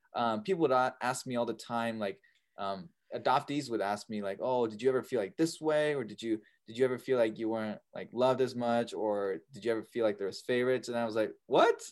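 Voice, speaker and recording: With an American accent and an unremarkable speaking voice, a man of medium pitch talks at a fairly quick pace with ordinary pitch variation against a quiet background. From US Pacific Northwest. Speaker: adoptee and videographer. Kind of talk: casual interview.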